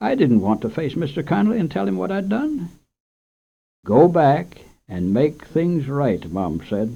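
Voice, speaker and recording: Against a quiet background, a man with a dark, mellow tone and fairly high pitch talks at a fairly slow pace, his pitch swinging very widely. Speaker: radio host and storyteller. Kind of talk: children's story reading. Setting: radio studio.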